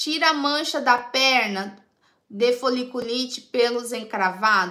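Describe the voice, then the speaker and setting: Against a quiet background, a bright, sharp tone carries lively intonation. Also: woman. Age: 30s. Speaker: beauty tips livestreamer. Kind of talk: live stream chat reading comments. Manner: chatty, informal. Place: home room. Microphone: phone near.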